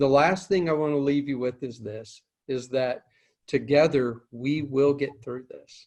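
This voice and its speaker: A man talks at a fairly slow pace with medium pitch. His intonation stays fairly even. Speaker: licensed counselor and peer support specialist. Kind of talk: closing remarks of a recorded conversation. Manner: halting, many filler words and repeats.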